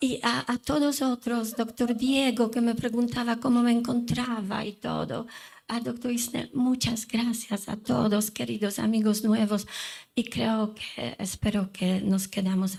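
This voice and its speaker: Her intonation fairly even, a woman with a non-native accent speaks in a somewhat breathy voice. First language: not Spanish (speaking Spanish). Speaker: lawyer and mediator, conference speaker. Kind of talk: conference talk. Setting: conference hall with microphone.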